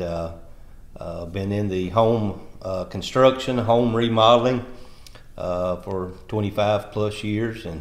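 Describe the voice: A man talks at a slow pace in a fairly low pitch. His pitch varies in an ordinary way.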